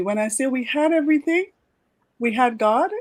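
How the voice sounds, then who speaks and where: A woman speaks in a normal speaking voice. Her pace is moderate and her intonation lively. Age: 60s. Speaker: leadership coach. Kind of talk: podcast interview.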